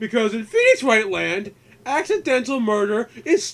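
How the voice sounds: Reading in a natural voice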